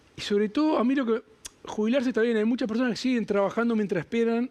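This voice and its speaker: A man's high-pitched voice at a very fast pace with very even loudness. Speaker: TV presenter. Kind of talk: TV news segment.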